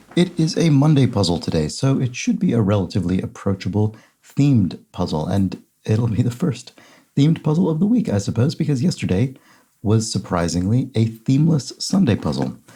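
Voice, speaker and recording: Somewhat breathy and dark, mellow in tone, a man speaks at a medium pitch and a fairly quick pace with very wide pitch swings. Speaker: crossword solver. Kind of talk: casual commentary while solving a puzzle.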